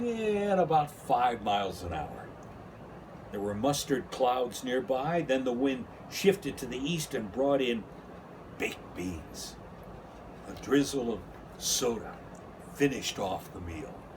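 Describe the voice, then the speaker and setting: A somewhat breathy man at medium pitch, with very wide pitch swings, big swings in loudness, a fairly slow pace and long, frequent pauses. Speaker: radio host. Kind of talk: children's book read-aloud.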